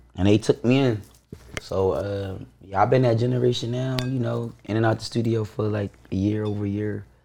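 Noticeable background noise sits behind a man with a fairly low pitch. He talks at a moderate pace with fairly even intonation. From Baltimore, raised in Philadelphia. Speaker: DJ and music producer. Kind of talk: casual interview chat.

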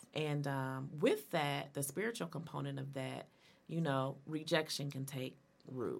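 At a fairly slow pace, a woman speaks with a very deep, low pitch, vocal fry and ordinary pitch variation. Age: 40s. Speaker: minister and radio host. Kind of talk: casual chat. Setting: studio.

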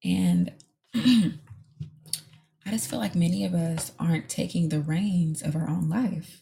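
A woman speaks very slowly with an American accent, her very deep, low voice somewhat breathy and dark, mellow in tone. Her pitch swings very widely. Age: 20s. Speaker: podcast host and lash artist. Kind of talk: casual solo monologue.

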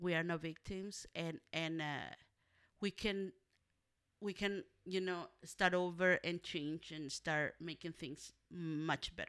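A woman with a Spanish accent at a very slow pace and fairly low pitch, in a very clean recording with a silent background. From Mexico, Monterrey, Nuevo León. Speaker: community organizer. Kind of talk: interview.

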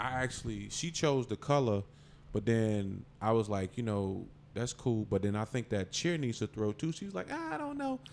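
A normal speaking voice from a man at medium pitch and a moderate pace, on a very clean recording with a silent background. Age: 40s. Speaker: comedian. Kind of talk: casual chat.

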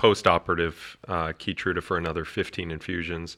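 This man's voice has a bright, sharp tone. The recording is very clean, with a silent background. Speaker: oncologist. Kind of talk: casual chat. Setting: studio. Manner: loud.

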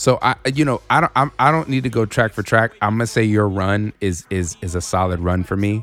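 This man has an unremarkable speaking voice, fairly low in pitch, with an American accent and ordinary pitch variation. He talks at a fairly quick pace in a dry, close sound with no echo. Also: hardly any pauses. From Inland Empire, Southern California. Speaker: podcast co-host. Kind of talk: casual chat.

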